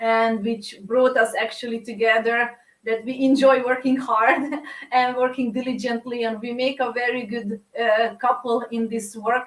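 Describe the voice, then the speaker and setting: Her high-pitched voice stays monotone, the intonation flat throughout. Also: moderate pace. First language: Hungarian. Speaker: coach and course leader. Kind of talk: online live masterclass. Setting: live online stream. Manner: hesitant, many fillers.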